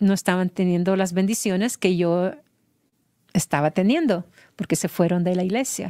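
The speaker is a woman. Her pitch rises and falls in an ordinary way. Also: quiet background. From Honduras, San Pedro Sula; Honduras. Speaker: mother of a singer; interview guest. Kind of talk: interview testimony. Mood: reflective, emotional personal story. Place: studio. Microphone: studio mic.

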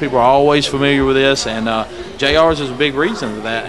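Behind this man's voice, background noise is noticeable. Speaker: local TV show host. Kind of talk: interview questions, casual chat. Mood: friendly, upbeat. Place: bar. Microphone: handheld.

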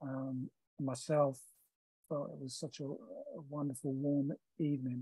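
A man speaks at a fairly slow pace in a dark, mellow tone that is somewhat breathy, with fairly even intonation. The sound is dry with no echo, over a quiet background. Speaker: guest. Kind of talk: interview answer. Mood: warm, reflective. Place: home room.

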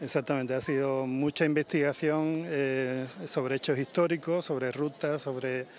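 Over light background noise, in a dry sound with no echo, a man speaks at medium pitch with fairly even intonation. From Andalusia, San Fernando (Cádiz). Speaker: novelist. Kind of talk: interview. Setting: outdoors. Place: street. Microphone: handheld.

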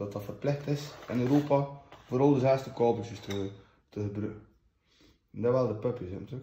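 A man in a West Flemish accent with a dark, mellow and somewhat breathy tone, plus audible room echo and light background noise. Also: medium pitch for a man, ordinary pitch variation, moderate pace. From West Flanders, Belgium. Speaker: unboxing host. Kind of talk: casual unboxing talk to camera. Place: home room. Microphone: phone near.

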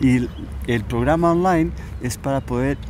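Faint music plays in the background as a man speaks, the sound dry with no echo. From Spain. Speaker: coach teaching a method for removing mental blocks. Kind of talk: casual interview. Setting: outdoors in a park. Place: garden. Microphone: lapel.

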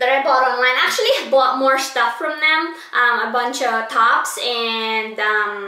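At a fairly slow pace, a woman with a high pitch and fairly even intonation speaks amid audible room echo. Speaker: haul vlogger. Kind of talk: casual vlog chat. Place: home room. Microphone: camera far.

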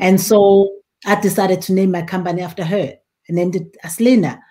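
A woman talks at a fairly quick pace with a medium pitch and a dark, mellow, somewhat breathy tone. Her intonation is monotone and flat, set against a quiet background. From rural South Africa. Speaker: winemaker and winery owner; guest. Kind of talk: casual interview. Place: home room.

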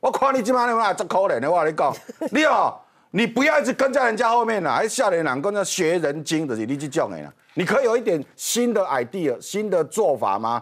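A man speaks in a high voice with very wide swings in pitch and an animated tone. His pace is fairly quick against a quiet background. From Taiwan. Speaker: political commentator. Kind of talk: TV political talk show commentary. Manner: animated, mocking. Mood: mocking, critical. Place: studio. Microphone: lapel.

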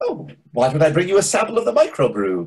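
Putting on a character voice, a man speaks fast at a fairly high pitch, with very wide pitch swings, a slightly mellow tone and a slightly husky edge.

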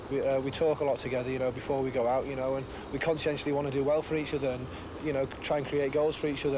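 Very fast, flat, monotone delivery from a man with a fairly high pitch, dry with no echo, over noticeable background noise. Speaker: professional footballer. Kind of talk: interview. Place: stadium.

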